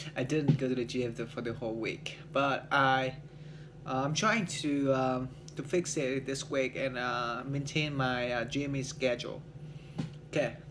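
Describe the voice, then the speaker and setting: A man with a Vietnamese accent, medium pitch, fairly even intonation and a fairly slow pace, with audible room echo. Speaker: English learner, salesman. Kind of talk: speaking practice monologue. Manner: halting, many fillers.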